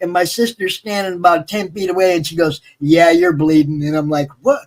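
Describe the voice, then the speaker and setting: This man speaks with an American accent at a fairly quick pace. His voice is high and animated, with ordinary pitch variation. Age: 60s. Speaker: live stream host. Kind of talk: casual chat. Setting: live stream.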